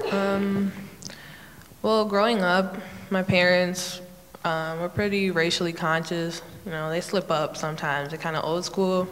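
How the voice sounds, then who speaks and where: Speaking fairly slowly with an American accent, a woman uses a fairly low pitch and fairly even intonation, amid audible room echo and noticeable background noise. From Oak Park, Illinois (Chicago area). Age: young. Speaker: panelist. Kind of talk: panel discussion.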